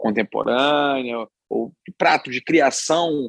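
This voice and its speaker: A man speaks in a Rio de Janeiro accent at a fairly high pitch with ordinary pitch variation. The sound is dry and close, with no echo. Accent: Carioca Brazilian Portuguese. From Rio de Janeiro, Brazil. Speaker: chef and restaurateur. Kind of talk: podcast interview answer.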